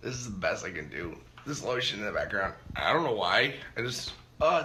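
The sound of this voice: A man's put-on character voice, hoarse and raspy, at a medium pitch and fairly quick pace, with audible echo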